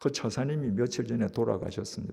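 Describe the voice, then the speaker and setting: With vocal fry and a dark, mellow tone, a man talks at a medium pitch and moderate pace, with ordinary pitch variation. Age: 70s. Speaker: pastor. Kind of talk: sermon.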